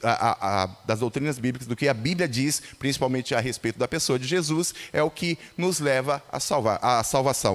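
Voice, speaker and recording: A man speaks at a medium pitch with ordinary pitch variation. It is a plain, everyday voice. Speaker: lay preacher. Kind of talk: sermon. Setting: church.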